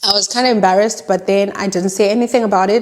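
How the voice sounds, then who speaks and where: Noticeable background noise surrounds a woman's voice. She speaks at a medium pitch with ordinary pitch variation. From South Africa. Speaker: YouTuber. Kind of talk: casual storytime talk to camera.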